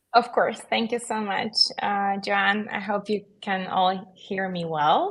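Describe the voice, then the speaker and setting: This woman speaks with a non-native accent. Her pitch sits in the medium range. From Belarus. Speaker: solicitor. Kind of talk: panel discussion on webinar. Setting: virtual event.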